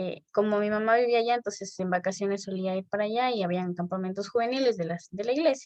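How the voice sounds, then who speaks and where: At a very fast pace with hardly any pauses, a woman speaks using ordinary pitch variation. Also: medium pitch for a woman. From Ecuador, El Chaco (Napo). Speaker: church member. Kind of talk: interview.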